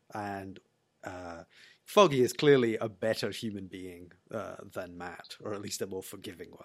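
Spoken at a moderate pace with a Scottish accent, the voice has ordinary pitch variation. Its loudness swings widely. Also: man, fairly low pitch for a man. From Scotland. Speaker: TV review podcast guest. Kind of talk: casual chat.

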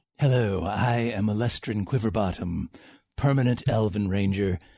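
A man's put-on character voice, fairly low in pitch, at a moderate pace over a quiet background. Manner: stagey, silly, self-introducing.

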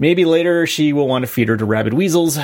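A man talks in a plain, everyday voice at a fairly quick pace, with ordinary pitch variation. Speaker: podcast co-host. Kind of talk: casual chat.

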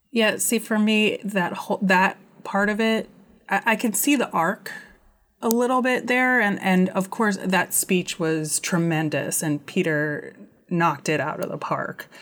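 This woman has a plain, everyday voice with an American accent and a medium pitch. She talks at a fairly slow pace with ordinary pitch variation and very even loudness. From United States. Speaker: podcast guest. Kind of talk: casual chat. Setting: remote recording.

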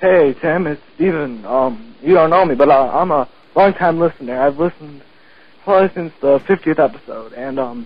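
A man's fairly high voice with a slightly husky edge, lively intonation, and a moderate pace.

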